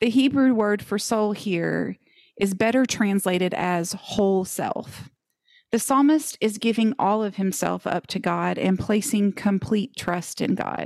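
Using a plain, everyday voice, a woman talks at medium pitch and a fairly slow pace with ordinary pitch variation. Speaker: podcast co-host. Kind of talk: casual Bible study discussion.

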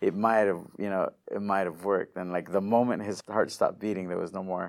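With an American accent, a man speaks at a fairly quick pace in an ordinary speaking voice. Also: very clean recording, silent background. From US-Mexico border region. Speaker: digital marketing entrepreneur. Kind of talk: interview.

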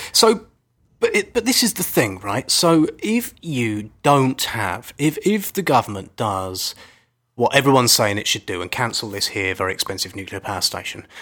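A man with a British accent, a bright, sharp tone and medium pitch, very wide pitch swings and a moderate pace, on a very clean recording with a silent background. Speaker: environmental podcast co-host. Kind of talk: casual chat. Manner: playful.

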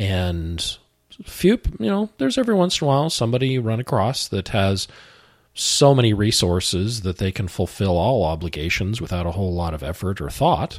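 With an ordinary speaking voice, a man talks at a fairly quick pace with lively intonation and fairly low pitch, in a very clean recording with a silent background. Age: 50s. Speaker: finance instructor and financial planner. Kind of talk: educational talk show. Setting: studio.

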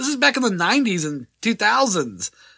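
A man speaks very slowly in a high, raised, projected voice with lively intonation. The sound is dry and close, with no echo. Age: 40s. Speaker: podcast co-host. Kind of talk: casual banter. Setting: studio.

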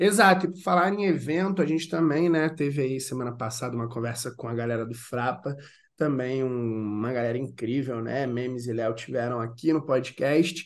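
Hardly pausing, a man speaks at a moderate pace in a plain, everyday voice. His pitch is medium with ordinary variation. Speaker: podcast host. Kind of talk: casual interview chat.

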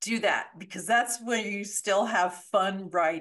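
This is an unremarkable speaking voice with an American accent and ordinary pitch variation. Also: woman. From Colorado, US. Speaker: thriller author, former lawyer. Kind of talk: casual interview.

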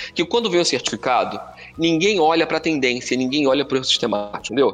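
Fairly high-pitched man with lively intonation at a very fast pace. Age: 50s. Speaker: professor. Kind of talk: lecture. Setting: live stream. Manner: talkative.

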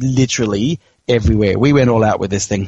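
A man speaks with an Australian accent and lively intonation. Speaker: pinball podcast co-host. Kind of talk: casual chat.

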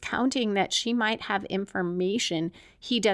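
The pitch moves an ordinary amount. The delivery is a natural reading voice.

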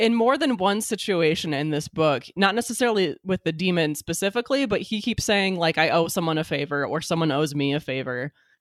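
This woman has an ordinary speaking voice, fairly low in pitch, with lively intonation, a fairly quick pace, hardly any pauses, and a dry, close sound with no echo. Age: 30s. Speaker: podcast guest, comics reviewer. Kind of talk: casual chat.

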